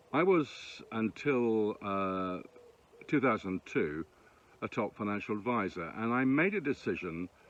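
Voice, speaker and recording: Speaking at a fairly slow pace, a man with an English accent has fairly low pitch. His pitch variation is ordinary. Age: 60s. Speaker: former financial advisor and aspiring musician. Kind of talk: self-recorded audition monologue. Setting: self-tape recording.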